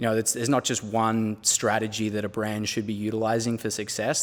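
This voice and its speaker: A man with an Australian accent and a fairly low pitch, at a fairly quick pace on a very clean recording with a silent background. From Australia, near Melbourne. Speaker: brand strategist. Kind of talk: interview.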